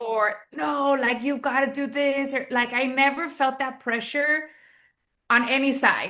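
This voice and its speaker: Against a quiet background, a woman with an American accent projects a raised, high-pitched voice with a bright, sharp tone, speaking at a fairly slow pace in a monotone, flat intonation. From US South, Texas, McAllen border region. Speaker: network marketing entrepreneur. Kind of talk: interview.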